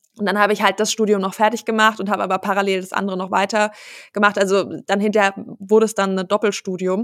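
A woman talks at a very fast pace. Her intonation is flat and monotone. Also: medium pitch for a woman. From Germany, Hesse (Wiesbaden). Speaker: business owner, family company successor. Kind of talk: casual interview. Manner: many filler sounds, laughs often.

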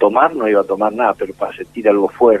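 A man's voice with noticeable background noise. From Argentina. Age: 60s. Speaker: war veteran. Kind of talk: testimony. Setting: phone call.

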